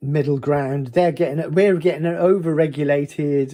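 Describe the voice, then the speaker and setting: A man with a fairly high pitch speaks in a dark, mellow tone. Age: 60s. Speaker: gunsmith. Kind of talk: casual talk to camera.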